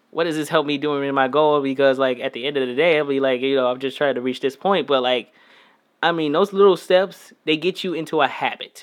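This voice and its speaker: A man talks at a fairly quick pace in a fairly high pitch. It is a normal speaking voice. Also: ordinary pitch variation. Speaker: musician. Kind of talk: casual chat.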